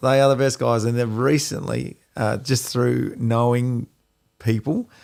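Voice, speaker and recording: A man's medium-pitched voice at a fairly slow pace, fairly even in intonation and very even in loudness, on a very clean recording with a silent background. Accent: Australian. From Australia. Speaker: podcast co-host. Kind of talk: casual chat.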